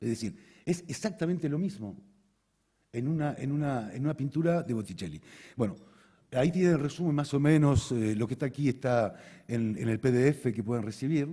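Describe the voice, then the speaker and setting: Somewhat breathy and dark, mellow in tone, a man speaks at a fairly quick pace in a fairly high pitch, broken by long, frequent pauses. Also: lively intonation. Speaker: conference speaker, osteopath. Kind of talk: conference talk. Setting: stage with audience. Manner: fast; halting, repeats words.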